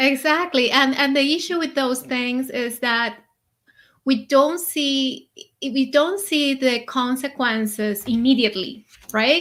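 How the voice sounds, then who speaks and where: In a non-native accent, a woman projects a raised, high-pitched voice with a bright, sharp tone, ordinary pitch variation and a fairly slow pace on a very clean recording with a silent background. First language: not English. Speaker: conscious eating coach. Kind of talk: interview.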